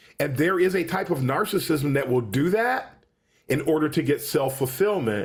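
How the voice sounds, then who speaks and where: Music plays in the background as a man speaks at a moderate pace. His fairly high voice has lively intonation and very even loudness. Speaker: UX professor and podcaster. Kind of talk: interview conversation. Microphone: good quality microphone.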